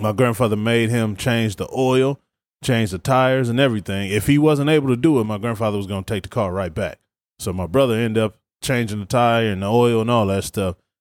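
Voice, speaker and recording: An ordinary speaking voice from a man with an American accent at medium pitch and a fairly quick pace, with ordinary pitch variation, dry and close with no echo, on a very clean recording with a silent background. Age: 30s. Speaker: sports podcast host and high school football coach. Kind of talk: casual sports chat.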